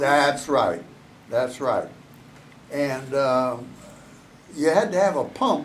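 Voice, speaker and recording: A man with a fairly high pitch speaks very slowly, with lively intonation and long, frequent pauses. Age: 80s+. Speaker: retired NASA engineer. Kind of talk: interview answer.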